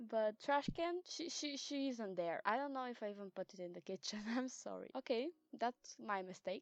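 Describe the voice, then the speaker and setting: A woman with a non-native accent speaks at a moderate pace with lively intonation, the sound dry and close with no echo. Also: fairly high pitch for a woman. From Eastern Europe. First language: not English, Eastern European language. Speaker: gaming YouTuber. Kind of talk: casual voiceover commentary. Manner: halting, with frequent repetitions and fillers.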